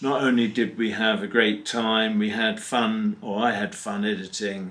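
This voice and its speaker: Through noticeable background noise, a man with an English accent speaks fairly slowly in a monotone, flat intonation. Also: medium pitch for a man. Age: 70s. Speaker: narrowboat vlogger. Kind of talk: casual chat.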